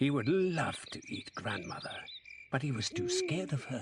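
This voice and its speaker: Noticeable background noise sits behind a man speaking at a moderate pace. His voice is fairly high, with lively intonation. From Scotland. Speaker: actor, narrator. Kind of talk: children's story narration.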